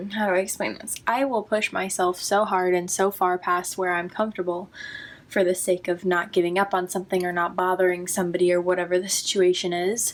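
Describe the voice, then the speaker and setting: A woman talks at a fairly quick pace in a monotone, flat intonation. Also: medium pitch for a woman. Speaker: vlogger. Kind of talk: personal vlog monologue. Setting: at home. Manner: halting, self-interrupting.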